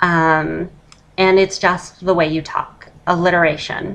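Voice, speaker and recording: A woman's fairly low voice at a fairly slow pace, with fairly even intonation. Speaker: voice feminization tutor. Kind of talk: casual tutorial talk to camera. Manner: switches between masculine and feminine voice.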